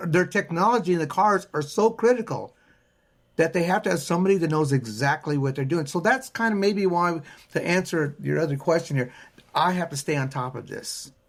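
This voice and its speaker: Pitched high, a man talks at a fairly quick pace with lively intonation. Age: 70s. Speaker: auto recycling business owner. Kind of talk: podcast interview.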